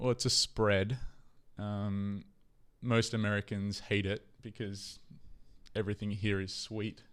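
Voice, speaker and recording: Speech in a flat monotone comes at a fairly slow pace with long, frequent pauses in a very clean recording with a silent background. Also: man, fairly low pitch for a man. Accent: Australian. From Australia. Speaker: podcast co-host. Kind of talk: casual chat.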